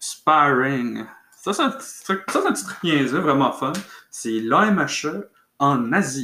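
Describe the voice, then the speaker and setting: Speaking very slowly in a Quebec accent, a man has a bright, sharp tone and lively intonation. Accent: Québécois French. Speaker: podcaster on fencing and martial arts. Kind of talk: solo casual monologue. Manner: halting, many fillers.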